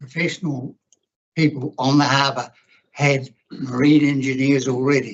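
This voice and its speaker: In a New Zealand accent, a man with a fairly high pitch talks in a flat monotone, leaving long, frequent pauses. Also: moderate pace. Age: 80s+. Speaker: former councillor, submitter at hearing. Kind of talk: public hearing submission.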